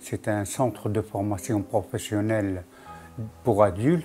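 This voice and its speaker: Amid noticeable background noise, a man with a fairly low pitch talks at a fairly slow pace. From Tunisia. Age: 70s. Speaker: retired restaurant worker. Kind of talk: interview testimony.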